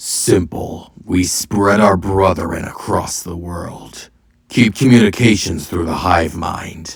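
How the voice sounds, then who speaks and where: A man's growling, put-on character voice, very deep and low, with big swings in loudness. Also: fairly slow pace. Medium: read story. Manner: cold, commanding.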